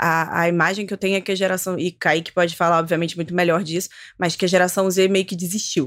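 A woman talks at a very fast pace in a fairly low pitch. Her intonation stays monotone and flat. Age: 30s. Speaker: writer. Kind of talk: casual chat.

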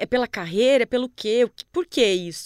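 Captured in a very clean recording with a silent background and a dry, close sound without echo, a high-pitched woman speaks with lively intonation. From Paraná, Brazil (interior, near Paraguay). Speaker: journalist. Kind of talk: casual interview.

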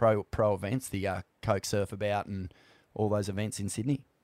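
A man in an Australian accent speaks at a moderate pace. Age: 40s. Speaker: podcast host. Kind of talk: casual interview.

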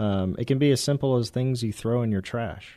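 Over a quiet background, a man with a dark, mellow tone speaks at a fairly quick pace. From Texas, San Antonio area. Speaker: cybersecurity business owner. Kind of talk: radio interview.

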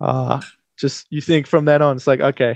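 In an Australian accent, a man delivers his words with monotone, flat intonation. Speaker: radio sports presenter. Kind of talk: sports commentary; casual sports radio chat. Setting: radio studio.

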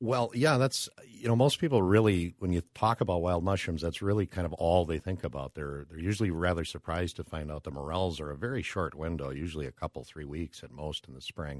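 A man with an Upper Midwest accent and a very deep, low pitch talks at a fairly quick pace with hardly any pauses, lively intonation and big swings in loudness, in a very clean recording with a silent background and a dry, close sound with no echo. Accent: Upper Midwest American. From Minnesota (Brooklyn Park, Minneapolis suburb). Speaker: mushroom forager and food entrepreneur. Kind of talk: casual interview.

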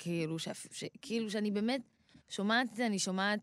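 A woman with an unremarkable speaking voice talks at a medium pitch with ordinary pitch variation, on a very clean recording with a silent background. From Israel, Rehovot. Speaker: rapper. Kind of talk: interview.

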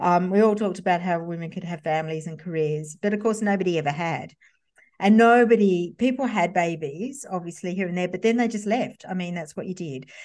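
A woman speaks fairly quickly in an Australian accent, her pitch medium with ordinary variation. The background is quiet. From Sydney western suburbs, Australia. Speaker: copywriter and former magazine journalist. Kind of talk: interview.

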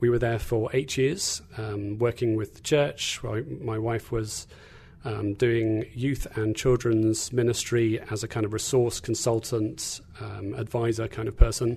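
Speaking fairly slowly with an English accent, a man uses a medium pitch, a dark, mellow tone, a somewhat breathy quality and fairly even intonation. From England. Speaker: guest speaker on faith. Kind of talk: sermon-like teaching talk. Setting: studio.

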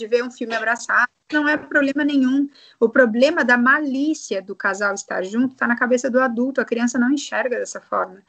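This woman's voice sits high in pitch, moving at a moderate pace with fairly even intonation. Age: 30s. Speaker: sexologist. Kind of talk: interview.

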